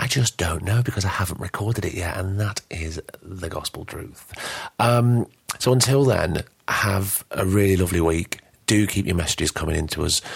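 A man with a Lancashire accent, a very deep, low pitch, ordinary pitch variation and a somewhat breathy quality. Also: moderate pace, dry, close sound with no echo. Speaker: podcast host. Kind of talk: casual chat.

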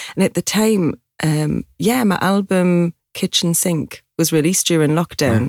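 The speaker has a Geordie accent and a fairly slow pace, with ordinary pitch variation and very even loudness. The sound is dry and close with no echo, on a very clean recording with a silent background. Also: woman, fairly low pitch for a woman. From Newcastle, north-east England. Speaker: singer-songwriter. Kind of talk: casual interview chat.

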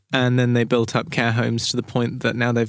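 A man with a southern English accent, monotone and flat in intonation, on a very clean recording with a silent background. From southern England, Brighton. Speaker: period tailor. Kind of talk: interview. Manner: halting.

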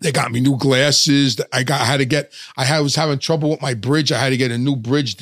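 A man speaks at a fairly quick pace with a fairly bright tone and fairly even intonation. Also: medium pitch for a man, dry, close sound with no echo.

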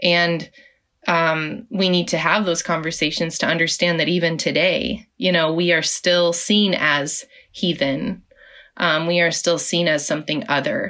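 A woman with an American accent speaks at a fairly low pitch and a fairly slow pace, in a bright, sharp tone with ordinary pitch variation. Her loudness stays very even over a quiet background. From Oklahoma, US. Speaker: author and faith leader. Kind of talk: interview.

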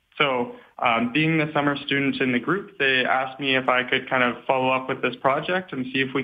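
This is an unremarkable speaking voice at a moderate pace. Its intonation stays fairly even. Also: man. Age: 20s. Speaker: PhD student. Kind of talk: radio interview.

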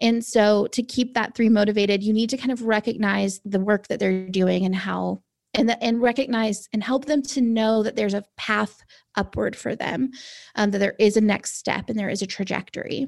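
A woman speaks at a moderate pace in a plain, everyday voice, her fairly high pitch held to fairly even intonation, on a very clean recording with a silent background. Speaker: personality typing expert. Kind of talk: podcast interview.

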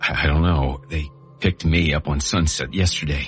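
A man does a put-on character voice that is raspy and very deep and low, with very even loudness at a moderate pace. Clear music plays in the background. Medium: read story.

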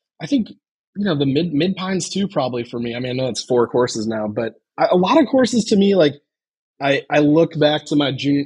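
Speaking with an American accent, a man uses a fairly high pitch and a fairly quick pace. His voice is somewhat breathy, with ordinary pitch variation. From Chicago, US Midwest. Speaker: golf club co-founder. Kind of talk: casual chat.

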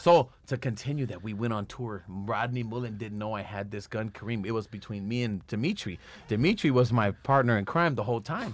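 A man speaks in an unremarkable speaking voice with an American accent, at medium pitch and a fairly quick pace with hardly any pauses. His pitch varies in an ordinary way, and the recording is very clean with a silent background. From Los Angeles, Echo Park. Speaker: pro skater and actor. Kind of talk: casual chat.

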